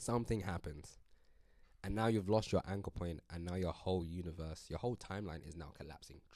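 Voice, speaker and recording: Speaking fairly quickly but with long, frequent pauses, a man with an American accent has a very deep, low pitch, a dark, mellow tone and ordinary pitch variation. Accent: British, slips into American at times. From UK. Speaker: musician and spiritual vlogger. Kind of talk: casual vlog monologue. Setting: recording on a laptop webcam. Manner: rambling, relaxed.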